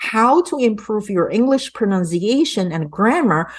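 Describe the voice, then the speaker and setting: A woman speaks at a moderate pace with a non-native accent. Her pitch swings very widely. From immigrant to an English-speaking country. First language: not English. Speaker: English and public speaking coach. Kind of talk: sales pitch.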